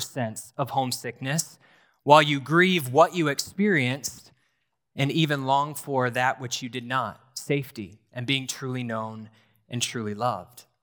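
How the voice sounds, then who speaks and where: A bright, sharp tone at a moderate pace, with ordinary pitch variation, on a very clean recording with a silent background. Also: man. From US Northeast, rural New Hampshire. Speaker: pastor in training. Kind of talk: sermon. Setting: church.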